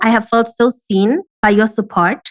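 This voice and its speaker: A woman is speaking. Her pitch sits fairly high. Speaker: online business coach. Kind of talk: podcast interview.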